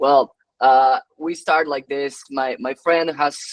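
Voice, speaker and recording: A man with a Spanish accent talks at a moderate pace in a fairly high pitch with monotone, flat intonation. The sound is dry and close, with no echo. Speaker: tech entrepreneur. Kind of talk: webinar talk. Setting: online webinar. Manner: halting, many fillers and repetitions.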